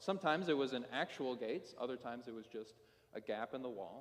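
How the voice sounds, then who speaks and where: A man's ordinary speaking voice, medium in pitch, with ordinary pitch variation and a moderate pace. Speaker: pastor. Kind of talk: sermon.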